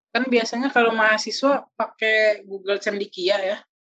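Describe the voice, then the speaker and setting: Fairly even intonation from a woman at medium pitch, moving at a moderate pace. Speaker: podcast host, university student. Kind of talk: casual chat.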